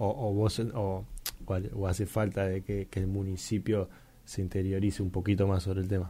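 A man with a dark, mellow tone speaks somewhat breathily at a fairly low pitch, with fairly even intonation. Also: moderate pace. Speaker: radio host. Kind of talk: interview.

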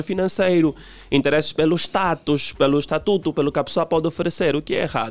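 Here is a man with a normal speaking voice. His pitch is fairly high and his pace fairly quick. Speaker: relationship commentator. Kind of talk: radio interview.

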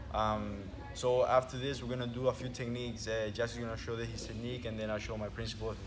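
The speech runs at a very fast pace with monotone, flat intonation over noticeable background noise. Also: man, medium pitch for a man. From Venezuela. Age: 20s. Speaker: jiu-jitsu instructor. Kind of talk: casual chat.

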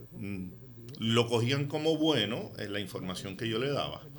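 Audible room echo and noticeable background noise surround a man's voice. He speaks at a medium pitch with ordinary pitch variation. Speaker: real estate developer. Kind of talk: radio interview.

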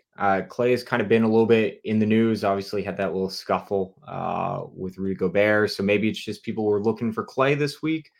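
Speaking at a fairly quick clip with hardly any pauses, a man uses ordinary pitch variation on a very clean recording with a silent background. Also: fairly low pitch for a man. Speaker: sports card company content manager, co-host. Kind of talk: casual livestream commentary. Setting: livestream. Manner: enthusiastic.

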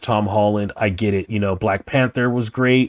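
On a very clean recording with a silent background and a dry, close sound with no echo, a man speaks in an unremarkable speaking voice at a fairly low pitch with fairly even intonation. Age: 40s. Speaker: podcast co-host. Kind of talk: casual chat.

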